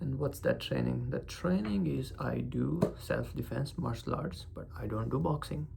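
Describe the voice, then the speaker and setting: With a non-native accent, a man speaks at a fairly slow pace amid noticeable background noise and audible room echo. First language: not English. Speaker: vlogger. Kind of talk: casual vlog monologue. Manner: emphasis on certain syllables; halting, searching for words.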